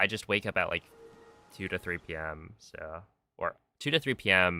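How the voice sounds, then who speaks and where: Here a man speaks with an American accent. His pace is fairly slow. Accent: thick Californian accent (joking). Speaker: speedrun streamer. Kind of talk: casual live stream chat while gaming.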